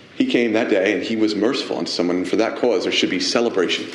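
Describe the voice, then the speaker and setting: A man speaks over noticeable background noise. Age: 30s. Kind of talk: sermon.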